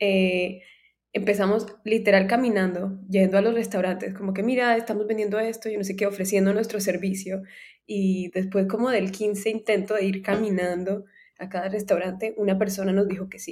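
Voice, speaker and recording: Her voice medium in pitch, a woman speaks at a moderate pace with monotone, flat intonation. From Colombia, Cartagena. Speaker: tech startup founder. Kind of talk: interview.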